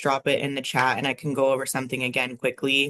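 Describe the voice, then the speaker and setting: A woman speaks at a very fast pace in a very deep, low pitch. Her intonation is monotone and flat. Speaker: university compliance officer, presenter. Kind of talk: webinar presentation.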